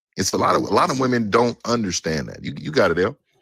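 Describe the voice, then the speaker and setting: A man's medium-pitched voice, bright and sharp with vocal fry, comes through dry and close with no echo on a very clean recording with a silent background. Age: 40s. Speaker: relationship talk panelist. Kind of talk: heated panel discussion.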